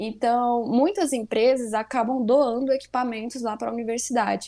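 This woman's voice has a dark, mellow tone and a fairly high pitch. She speaks at a moderate pace. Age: 20s. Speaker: chemistry student. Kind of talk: interview.

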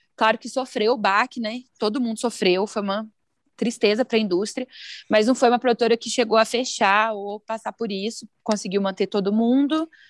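A woman with a plain, everyday voice speaks at a moderate pace in a fairly high pitch, with fairly even intonation. The sound is dry and close with no echo, on a very clean recording with a silent background. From Brazil, Araguari (Minas Gerais). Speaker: music marketing professional, former teacher. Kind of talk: podcast interview.

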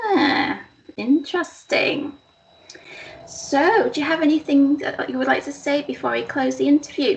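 Over noticeable background noise, a woman with a warm tone speaks at a moderate pace. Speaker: interviewer. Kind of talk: casual interview. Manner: warm, encouraging.

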